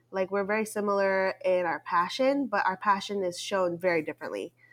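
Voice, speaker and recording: Against a silent background in a very clean recording, a woman speaks in a plain, everyday voice at medium pitch with ordinary pitch variation. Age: 20s. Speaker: wedding business owner and podcast co-host. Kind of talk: casual chat.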